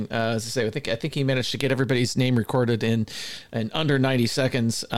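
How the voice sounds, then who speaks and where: A man with an American accent at a fairly quick pace and medium pitch. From US West Coast. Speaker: podcast co-host. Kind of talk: casual chat. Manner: fast; halting.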